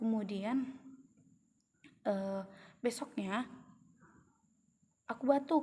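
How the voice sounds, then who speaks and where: A woman's fairly high-pitched, dark, mellow voice at a very slow pace, with ordinary pitch variation. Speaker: vlogger. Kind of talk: personal testimony. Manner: halting, many fillers.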